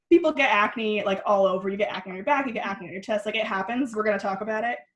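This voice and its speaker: Very fast and fairly high-pitched, a woman talks with ordinary pitch variation. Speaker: skincare workshop guest teacher. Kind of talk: online workshop tutorial.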